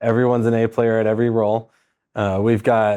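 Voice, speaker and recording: A man talks at a moderate pace with an American accent. His intonation is flat and monotone, and the background is quiet. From Southern California, San Diego. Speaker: private lender, team leader. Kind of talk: casual interview chat. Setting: studio office. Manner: relaxed, casual with fillers.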